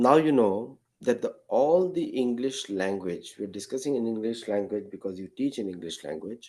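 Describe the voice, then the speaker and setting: A man with an Indian accent speaks at a medium pitch and a fairly slow pace. His voice makes very wide pitch swings. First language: Marathi. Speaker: guest speaker. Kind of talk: lecture.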